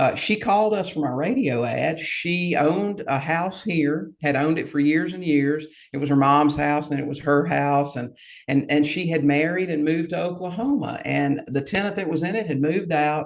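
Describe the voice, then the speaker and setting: Fairly high for a man, his voice is a plain, everyday voice with ordinary pitch variation. He keeps a moderate pace with hardly any pauses. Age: 60s. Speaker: real estate investor. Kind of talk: podcast interview.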